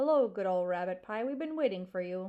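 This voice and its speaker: A woman puts on a character voice at a medium pitch, talking at a fairly quick pace with lively intonation. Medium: read story.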